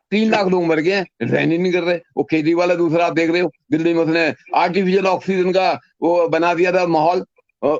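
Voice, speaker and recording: A man talks at a high pitch with fairly even intonation and a moderate pace. The sound is dry and close, with no echo. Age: 70s. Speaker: anti-corruption activist. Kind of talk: interview.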